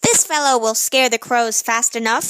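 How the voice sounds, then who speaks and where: A woman uses a put-on character voice at a fairly high pitch. She keeps a moderate pace. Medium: read story. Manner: matter-of-fact.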